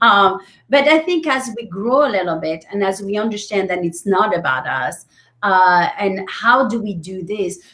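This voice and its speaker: In a French accent, a woman speaks at a medium pitch. Her intonation is lively. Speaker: business coach. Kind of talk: interview.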